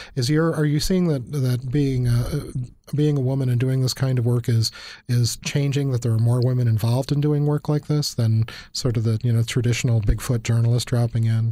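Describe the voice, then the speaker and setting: A somewhat breathy man speaks at a fairly quick pace and medium pitch, with a dark, mellow tone, fairly even intonation and very even loudness. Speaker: university professor podcast host. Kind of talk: interview conversation.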